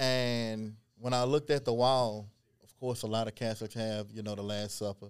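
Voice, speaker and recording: Big swings in loudness mark this man's ordinary speaking voice, which sits at a medium pitch and moves at a moderate pace with fairly even intonation. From Beaumont, Texas. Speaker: genealogist and historian. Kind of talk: casual interview chat.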